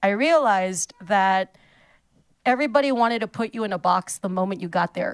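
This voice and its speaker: A woman with a South Texas accent talks at medium pitch and a moderate pace, with ordinary pitch variation. The sound is dry and close with no echo, on a very clean recording with a silent background. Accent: South Texas Mexican-American English. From South Texas, Rio Grande Valley (San Juan). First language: Spanish. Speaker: stand-up comedian. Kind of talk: interview. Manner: animated.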